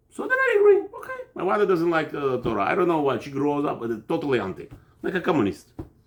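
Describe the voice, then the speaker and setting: An animated man talks at a very fast pace over noticeable background noise. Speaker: religious teacher, rabbi. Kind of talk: religious class, informal lecture. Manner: loud.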